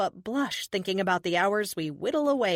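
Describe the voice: Someone reads aloud plainly, the intonation staying lively.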